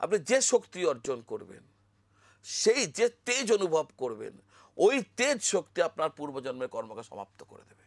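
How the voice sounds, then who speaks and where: This man's voice sits high and swings very widely in pitch, with big shifts in loudness and a dry, close sound free of echo. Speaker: astrologer. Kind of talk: spiritual talk to camera.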